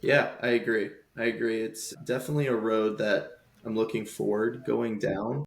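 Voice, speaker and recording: His is a normal speaking voice, pitched in the medium range for a man. The man keeps a moderate pace with fairly even intonation. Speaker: podcast host. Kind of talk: podcast interview questions.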